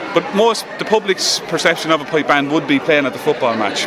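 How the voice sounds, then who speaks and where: A man speaks with an Irish Midlands accent at a fairly quick pace over noticeable background noise. His pitch is fairly high and his intonation lively. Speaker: pipe band drum sergeant. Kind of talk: interview. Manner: animated.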